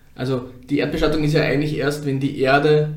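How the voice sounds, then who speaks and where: In a room with audible echo, a man speaks at a moderate pace. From Upper Austria, near Steyr. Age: 30s. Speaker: crematorium founder and funeral director. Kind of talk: interview.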